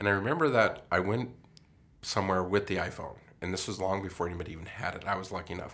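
With a very deep, low pitch and an American accent, a man talks at a very fast pace with ordinary pitch variation. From Colorado. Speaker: podcast co-host. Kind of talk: casual chat.

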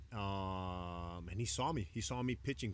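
With a Chicago accent and ordinary pitch variation, a man speaks in a very clean recording with a silent background. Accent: Chicago American English. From Chicago South Side, Mexican American. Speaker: professional baseball pitcher. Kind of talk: casual chat. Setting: outdoors on a beach.

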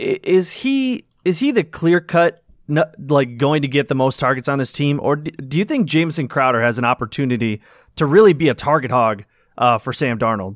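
Through a dry, close sound with no echo on a very clean recording with a silent background, a man with a plain, everyday voice talks at a fairly quick pace, fairly high in pitch, with lively intonation. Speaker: former podcast host. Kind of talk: casual chat.

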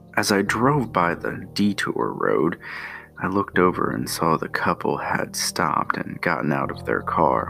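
The speech unfolds at a fairly slow pace with music in the background. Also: man. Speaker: podcast host. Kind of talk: scripted narration with sponsor read. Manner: slow, deliberate, low-key, building dread.

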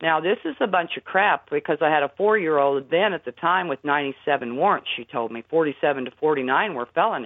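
At a very deep, low pitch, a woman speaks with lively intonation at a moderate pace. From Indiana. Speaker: fraud researcher and activist. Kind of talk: radio interview.

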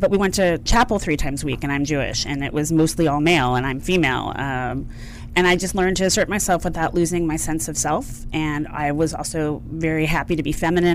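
A woman with an American accent speaks at a very fast pace. Her pitch is very deep and low, and room echo is audible. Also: hardly any pauses. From outside Philadelphia. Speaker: consulting firm CEO and founder. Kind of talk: radio interview.

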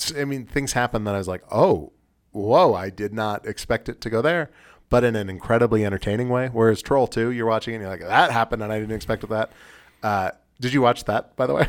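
In a very clean recording with a silent background, a man with a normal speaking voice talks at a fairly quick pace, using a medium pitch and ordinary pitch variation. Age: 30s. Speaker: disc golf podcast host, amateur player. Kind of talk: casual chat.

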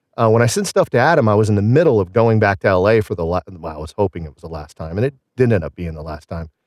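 A man at a very fast pace with hardly any pauses, lively intonation and big swings in loudness, in a dry, close sound with no echo. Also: fairly low pitch for a man. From Southern Illinois. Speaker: musician and radio show contributor. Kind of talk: casual interview chat. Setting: remote call.

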